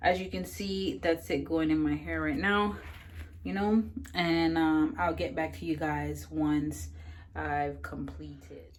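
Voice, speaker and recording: A woman's very slow speech with audible room echo. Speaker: beauty vlogger. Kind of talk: casual vlog. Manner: filler-heavy, casual.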